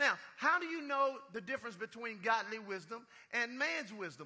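A man speaks in a raised, projected voice at an extremely high pitch, with an animated tone and lively intonation. His pace is moderate, and there is noticeable background noise. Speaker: pastor. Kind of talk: sermon, preacher in full flow with call-and-response. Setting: church with congregation. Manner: animated, rhythmic, exhorting the congregation with punchlines.

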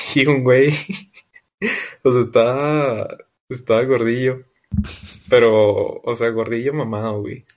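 A man speaks at a very slow pace with long, frequent pauses. His intonation is monotone and flat. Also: medium pitch for a man. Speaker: podcast host. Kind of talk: casual chat.

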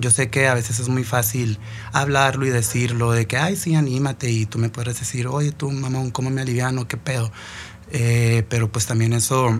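A man at medium pitch and moderate pace, intonation fairly even. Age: 20s. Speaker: podcast host, cook. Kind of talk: motivational monologue. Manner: casual, halting with fillers.

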